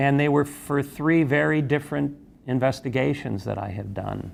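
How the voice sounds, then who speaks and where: His pace is moderate. The man talks in an American accent. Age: 60s. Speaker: investigative journalist. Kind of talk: interview testimony. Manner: halting, many fillers.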